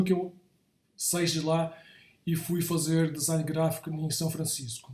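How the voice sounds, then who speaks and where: Man's high-pitched voice with a dark, mellow tone and audible room echo. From Brazil, São Paulo. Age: 60s. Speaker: creative director / design professional. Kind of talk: talk / lecture to an audience. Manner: halting, with frequent repetitions and self-corrections.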